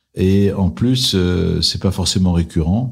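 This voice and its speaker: A man's very deep, low, somewhat breathy voice with ordinary pitch variation, on a very clean recording with a silent background. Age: 60s. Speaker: private equity investor. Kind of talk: interview.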